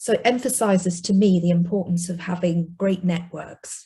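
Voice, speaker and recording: Speaking in a Yorkshire accent at a moderate pace, a woman of medium pitch sounds somewhat breathy, her tone dark and mellow against a quiet background. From northern England (South Yorkshire, Rotherham). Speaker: investment industry executive. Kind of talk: personal testimony.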